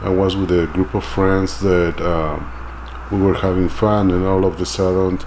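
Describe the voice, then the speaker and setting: With a Mexican accent, a man speaks at a fairly slow pace in a very deep, low pitch with lively intonation, over noticeable background noise. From Mexico City. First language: Spanish. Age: 40s. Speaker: immigrant interviewee. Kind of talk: documentary interview. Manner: halting.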